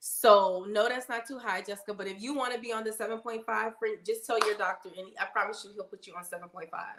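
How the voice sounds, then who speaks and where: A woman with a fairly high pitch speaks at a very fast pace with hardly any pauses. Her loudness swings a lot. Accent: American. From New Orleans, Louisiana. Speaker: nurse and health livestreamer. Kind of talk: livestream Q&A reading chat comments. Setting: live stream. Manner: casual, animated.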